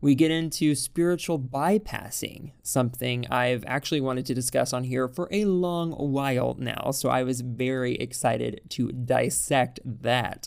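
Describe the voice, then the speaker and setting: In an American accent, a woman with a very deep, low pitch speaks at a fairly slow pace in an animated tone, with hardly any pauses. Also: ordinary pitch variation. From Texas. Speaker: podcast host. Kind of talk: podcast monologue; interview.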